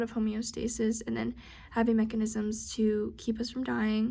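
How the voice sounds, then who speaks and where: A woman speaks at a moderate pace in a dark, mellow, somewhat breathy tone, fairly high in pitch, with monotone, flat intonation. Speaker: student. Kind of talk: study recap. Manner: halting.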